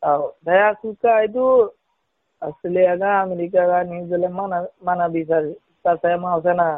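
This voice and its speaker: High in pitch with fairly even intonation, a man speaks at a fairly slow pace. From Rohingya, Myanmar. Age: 40s. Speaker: refugee. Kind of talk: interview. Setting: phone call. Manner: halting.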